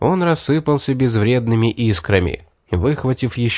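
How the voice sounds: A natural reading voice carries ordinary pitch variation. Behind it, the background stays quiet.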